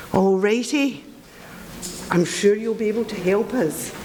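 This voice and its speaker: Through noticeable background noise, a woman with a Scottish accent speaks at a fairly slow pace with ordinary pitch variation. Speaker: mentoring volunteer. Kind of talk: speech to audience. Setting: event hall with audience.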